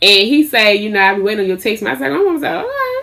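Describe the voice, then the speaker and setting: Loud and very fast, a woman speaks at a fairly high pitch over noticeable background noise. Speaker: lifestyle vlogger and small business owner. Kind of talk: casual storytelling vlog. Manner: animated.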